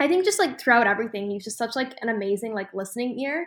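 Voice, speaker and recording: A woman speaks with an American accent and a bright, sharp tone. The recording is very clean, with a silent background. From Boston. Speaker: college student. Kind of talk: casual chat.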